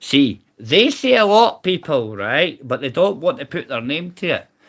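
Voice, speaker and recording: A man with a Scottish accent talks at a very slow pace. His tone is bright and sharp, and his pitch swings very widely. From Scotland. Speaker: livestreamer, army veteran. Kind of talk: casual live stream rant. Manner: loud; animated.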